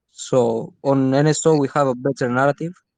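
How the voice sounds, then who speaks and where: In a Spanish accent, the speaker talks in a flat monotone, with a dry, close sound with no echo and a quiet background. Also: man. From Spain. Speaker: crypto community member and raid leader. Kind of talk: casual group chat on a live audio space.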